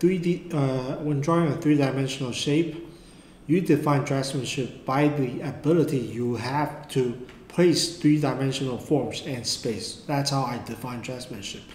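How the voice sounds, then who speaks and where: With audible room echo and noticeable background noise, a man talks at a fairly high pitch with ordinary pitch variation. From Taiwan. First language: Mandarin. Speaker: art tutor. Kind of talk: tutorial. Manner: halting.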